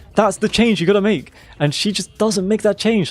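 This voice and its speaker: Music plays in the background as a man speaks at a high pitch. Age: 20s. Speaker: video game streamer. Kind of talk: casual chat. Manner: halting.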